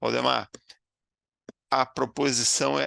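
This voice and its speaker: A man's voice with vocal fry and a bright, sharp tone, in a dry, close sound with no echo. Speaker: webinar moderator. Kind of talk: webinar Q&A.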